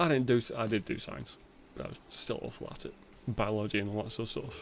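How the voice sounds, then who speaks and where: This voice talks at a very fast pace in a British accent, with lively intonation, big swings in loudness, and vocal fry. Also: man, medium pitch for a man. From England. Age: 30s. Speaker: gaming streamer. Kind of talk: casual chat. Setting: livestream.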